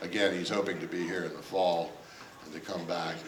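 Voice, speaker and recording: Over noticeable background noise and audible room echo, a man speaks at a very deep, low pitch in a monotone, flat intonation. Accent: American. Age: 70s. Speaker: retired judge. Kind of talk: public talk. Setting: stage with audience. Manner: halting, many fillers.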